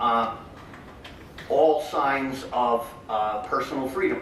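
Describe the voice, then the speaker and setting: Noticeable background noise and audible room echo accompany a very slow pace of speech. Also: man. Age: 60s. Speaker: political candidate. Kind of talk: campaign speech; Q&A answer. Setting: convention hall with audience. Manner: halting.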